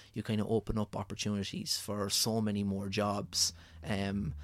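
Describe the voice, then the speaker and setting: A man with a rural Irish accent and fairly low pitch, on a very clean recording with a silent background. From rural Ireland. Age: 30s. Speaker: food blogger. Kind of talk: casual interview. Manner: halting.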